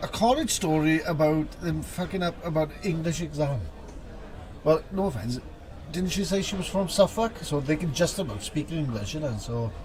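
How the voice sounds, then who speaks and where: Against noticeable background noise, a man speaks at a moderate pace in a fairly high pitch, his intonation lively. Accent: Welsh. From Wales. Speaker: tabletop game tournament commentator. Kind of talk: live commentary. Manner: animated.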